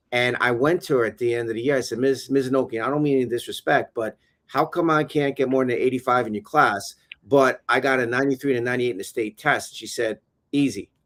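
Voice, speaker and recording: Very fast speech comes from a man at a medium pitch, with a dry, close sound and no echo. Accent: New York. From New York. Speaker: education consultant and former teacher. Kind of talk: casual interview on a livestream. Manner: animated.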